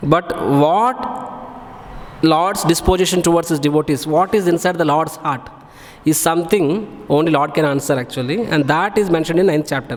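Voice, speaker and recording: Through noticeable background noise comes a man's voice, fairly high in pitch. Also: ordinary pitch variation. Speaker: monk giving scripture class. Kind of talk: religious lecture. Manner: fast; loud.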